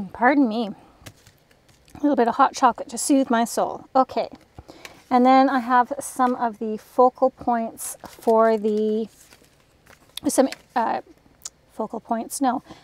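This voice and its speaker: Mumbling at a fairly slow pace, a woman leaves long, frequent pauses in a high pitch with fairly even intonation. The sound is dry and close, with no echo. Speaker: crafting YouTuber. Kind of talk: craft tutorial.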